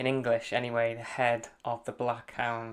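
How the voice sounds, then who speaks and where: A man speaks in a Welsh accent. The recording is very clean, with a silent background. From Wales. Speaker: running coach. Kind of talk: route guide narration while running. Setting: outdoors on mountains. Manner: casual, hesitant.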